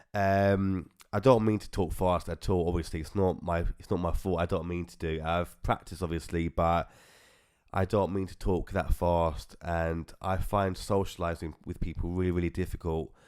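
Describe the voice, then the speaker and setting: Mumbling at a moderate pace, a man speaks with a British accent in a very deep, low pitch with fairly even intonation. The recording is very clean, with a silent background. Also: big swings in loudness. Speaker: podcast host. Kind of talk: personal testimony.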